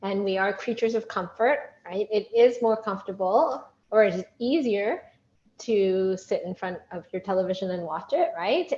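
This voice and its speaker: Lively intonation at a moderate pace in a woman's medium-pitched voice, a plain, everyday voice. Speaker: workshop leader. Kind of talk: online workshop. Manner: upbeat.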